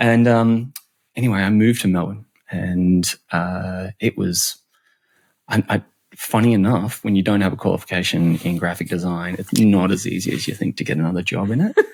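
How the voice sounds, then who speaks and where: A man with an Australian accent, a very deep, low pitch, ordinary pitch variation and a moderate pace. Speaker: customer and employee experience expert. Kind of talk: podcast interview. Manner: halting, many repetitions.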